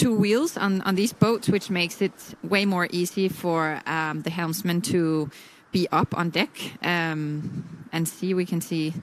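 This woman has a fairly low pitch. Her intonation stays fairly even. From Denmark. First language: Danish. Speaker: sailing expert commentator. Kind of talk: live commentary.

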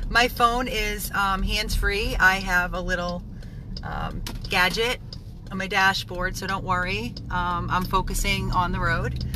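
With noticeable background noise but a dry sound with no echo, a woman talks at a fairly slow pace. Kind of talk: casual vlog update. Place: car. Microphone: phone near.

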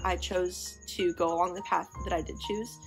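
Faint music plays behind a woman with an American accent who speaks at a fairly slow pace. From Missouri. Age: young. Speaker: vlogger. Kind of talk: casual talk to camera. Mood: reflective, soft, personal. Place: home room. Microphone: phone near.

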